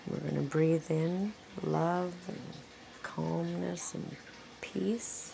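Over noticeable background noise, a woman talks at a very slow pace. Long, frequent pauses break up her speech. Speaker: meditation guide. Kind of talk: guided meditation. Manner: slow, calm, soothing; gentle, repetitive, paced with pauses.

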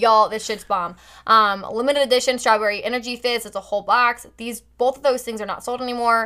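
A woman with an American accent talks at a fairly quick pace in an animated, bright, sharp tone on a very clean recording with a silent background. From US Midwest (Carmel, Indiana). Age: 20s. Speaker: entrepreneur, network marketer. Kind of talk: casual chat. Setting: home bedroom studio.

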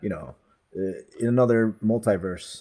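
The voice has a dark, mellow tone, a moderate pace and ordinary pitch variation. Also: man, fairly low pitch for a man.

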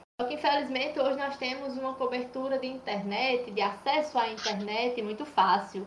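Lively intonation at a fairly slow pace, with noticeable background noise and audible room echo. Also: woman. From Brazil, Paraíba (Cajazeiras). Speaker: nurse and public health researcher. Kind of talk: interview, explanatory.

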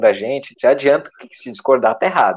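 In an ordinary speaking voice, a man talks at a moderate pace and a medium pitch. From Brazil, Santa Catarina coast. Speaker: podcast co-host. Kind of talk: casual comedic chat.

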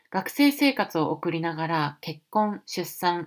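A woman speaks with a very deep, low pitch in a very clean recording over a silent background. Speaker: podcast host. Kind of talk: scripted narration.

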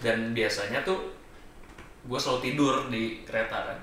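Noticeable background noise is present, and room echo can be heard. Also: man. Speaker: musician. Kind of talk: casual chat.

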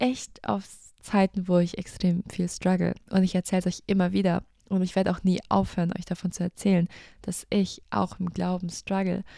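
A woman with a dark, mellow tone speaks at medium pitch and a moderate pace, with fairly even intonation and long, frequent pauses, on a very clean recording with a silent background. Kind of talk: casual personal talk about faith.

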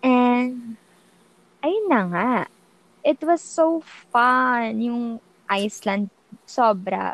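Very slowly and with long, frequent pauses, a woman speaks in a high pitch with lively intonation. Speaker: podcast co-host. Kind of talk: casual chat. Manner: sing-song.

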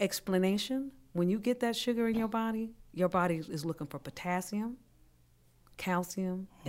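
A woman speaks at a moderate pace and medium pitch in an unremarkable speaking voice. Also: very clean recording, silent background. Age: 50s. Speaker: health coach. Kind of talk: casual chat.

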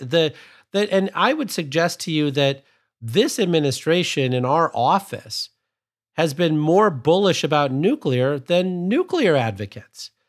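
This man has a fairly high pitch and lively intonation, in a Midwestern American accent. The recording is very clean, with a silent background. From US Midwest, Sterling, Illinois. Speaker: government energy official. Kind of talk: interview.

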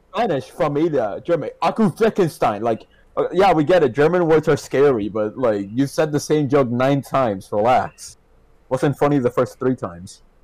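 A man at a moderate pace, fairly high in pitch, with very wide pitch swings. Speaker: podcast guest. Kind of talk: casual chat. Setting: online voice call. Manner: sarcastic tone.

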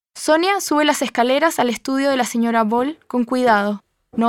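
A woman speaks with a high pitch and ordinary pitch variation. The sound is dry and close, with no echo. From Chile. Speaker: author. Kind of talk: reading aloud.

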